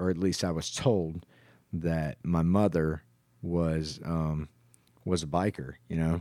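Speaking at a fairly slow pace with an American accent, a man with a very deep, low pitch and a dark, mellow tone comes through on a very clean recording with a silent background. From US Midwest (southwest Kansas). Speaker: church member sharing life story. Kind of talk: testimony. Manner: hesitant, many fillers.

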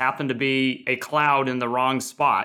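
In a very clean recording with a silent background, a man speaks at a medium pitch with a bright, sharp tone. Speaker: podcast host and company CEO. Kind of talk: business interview.

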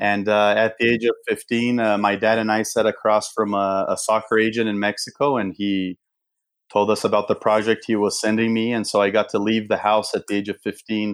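In a Portuguese accent, a man talks at a moderate pace with a fairly low pitch and monotone, flat intonation on a very clean recording with a silent background. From Brazil. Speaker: veterans nonprofit founder and former pro soccer player. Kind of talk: casual interview.

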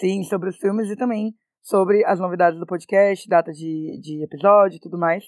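In a normal speaking voice, a woman talks at a moderate pace and medium pitch with fairly even intonation and big swings in loudness, the sound dry and close with no echo. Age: 20s. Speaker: actress and podcast co-host. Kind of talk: casual chat.

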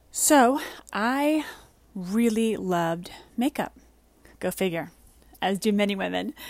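A woman at medium pitch speaks at a fairly slow pace with lively intonation and long, frequent pauses. The recording is very clean, with a silent background. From US Northeast, the Bronx, New York. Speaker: podcast host and beauty entrepreneur. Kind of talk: personal storytelling monologue. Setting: in a beach tent.

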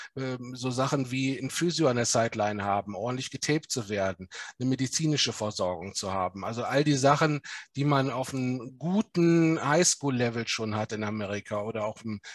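A man with an ordinary speaking voice talks at a fairly quick pace and medium pitch, with ordinary pitch variation, in a dry, close recording with no echo and a quiet background. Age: 40s. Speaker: lawyer and football club executive. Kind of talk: podcast interview.

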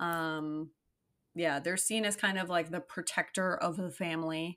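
On a very clean recording with a silent background, a woman speaks at a fairly slow pace in an unremarkable speaking voice with ordinary pitch variation. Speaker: podcast co-host. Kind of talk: casual chat podcast banter.

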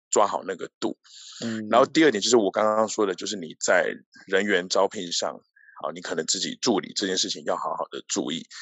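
A man with a Taiwanese accent at a fairly quick pace. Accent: Taiwanese Mandarin. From Taiwan, Tainan. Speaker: e-commerce executive. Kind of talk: interview.

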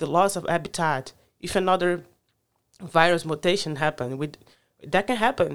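With a fairly low pitch, a woman speaks at a moderate pace, with ordinary pitch variation and long, frequent pauses. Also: big swings in loudness. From Brazil, Rio de Janeiro. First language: Portuguese. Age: 30s. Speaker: climate advocate. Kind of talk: casual interview. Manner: halting.

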